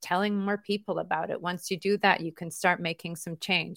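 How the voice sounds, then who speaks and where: Delivered at a fairly quick pace in a flat monotone, the voice sounds dry and close with no echo on a very clean recording with a silent background. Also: woman. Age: 40s. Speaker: tech company co-founder. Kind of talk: interview.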